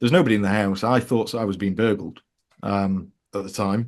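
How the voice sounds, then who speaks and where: With a fairly low pitch, a man talks at a fairly quick pace. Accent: Yorkshire. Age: 30s. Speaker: author. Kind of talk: interview. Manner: halting.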